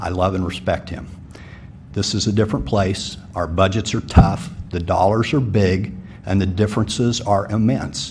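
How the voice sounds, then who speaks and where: With audible room echo, a man speaks at a moderate pace. His pitch is fairly low, with ordinary variation. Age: 50s. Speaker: city commission applicant. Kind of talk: public forum answer.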